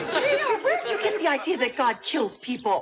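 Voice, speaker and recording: A put-on character voice at an extremely high pitch, swinging very widely up and down, delivered at a fairly quick pace. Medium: short film. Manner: motherly.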